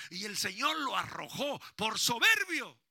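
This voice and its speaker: A man's voice comes across with a bright, sharp, animated tone. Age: 60s. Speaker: pastor. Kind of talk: sermon.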